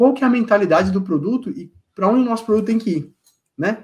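This man's voice is high-pitched for a man, with lively intonation. He talks at a fairly quick pace. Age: 40s. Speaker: solutions engineer in logistics. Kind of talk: casual interview.

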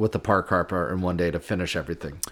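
A man is speaking. His pace is very fast. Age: 30s. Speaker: podcast co-host. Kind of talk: casual chat.

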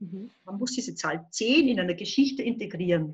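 Somewhat breathy and fairly high, a woman's voice moves through very wide pitch swings. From Upper Austria, near the Bavarian border. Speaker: children's book and crime author, illustrator. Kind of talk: casual interview.

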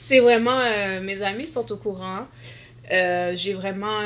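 Here is a woman with a normal speaking voice. Her pitch is medium, her pace fairly slow. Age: 20s. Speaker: nursing student with sickle cell disease, blogger. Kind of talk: interview testimony.

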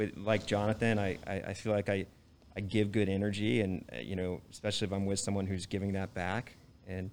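In a very clean recording with a silent background, a man with an American accent talks at a fairly quick pace in a plain, everyday voice with fairly low pitch. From Texas, Dallas. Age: 30s. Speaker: real estate professional. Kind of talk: casual chat. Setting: live audience.

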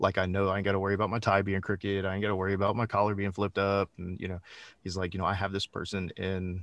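With a Texan accent, a man speaks in a very deep, low voice on a very clean recording with a silent background. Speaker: executive protection specialist and firearms instructor. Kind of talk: interview.

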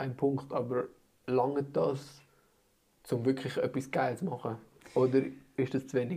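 A dark, mellow, somewhat breathy voice speaks at a moderate pace with monotone, flat intonation. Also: man. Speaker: podcast host. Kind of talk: casual chat. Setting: team weekend retreat.

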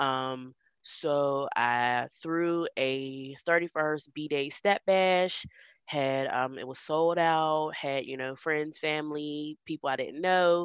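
A woman's very deep, low voice at a very slow pace, with a dry, close sound with no echo and a quiet background. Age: 30s. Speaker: podcast co-host and hip hop instructor. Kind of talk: casual chat. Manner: animated.

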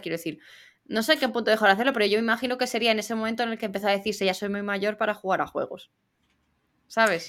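On a very clean recording against a silent background, the words come out at a very fast pace. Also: woman. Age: 20s. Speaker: podcast co-host. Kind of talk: casual chat.

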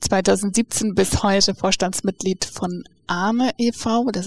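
A woman's somewhat breathy voice has fairly even intonation. The recording is very clean, dry and close, with a silent background and no echo. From Namibia. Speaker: podcast host. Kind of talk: interview. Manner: laughs often.

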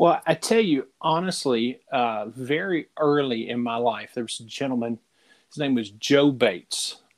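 With a Southern US accent, a man talks at a fairly slow pace and medium pitch, using lively intonation. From Middle Tennessee, US. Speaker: podcast co-host. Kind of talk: casual chat.

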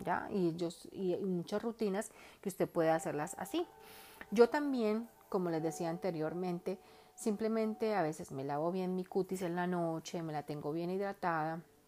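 Dark, mellow tone from a woman, her pitch moving in an ordinary way. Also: medium pitch for a woman, moderate pace. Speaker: makeup artist and hairstylist. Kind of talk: beauty tips monologue.

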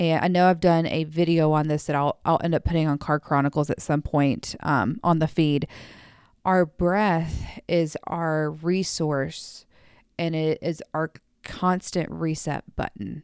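With an American accent, a woman speaks at a very deep, low pitch and fairly even intonation. The recording is very clean and dry, close-sounding with no echo and a silent background. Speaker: therapist and podcast host. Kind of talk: casual solo podcast monologue. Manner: audible sighs.

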